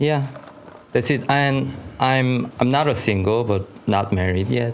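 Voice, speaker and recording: Background noise is noticeable as a man speaks with a Korean accent. He talks at a fairly slow pace, his loudness very even. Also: medium pitch for a man, ordinary pitch variation. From South Korea. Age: 40s. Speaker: scriptwriter and filmmaker. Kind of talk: casual podcast interview.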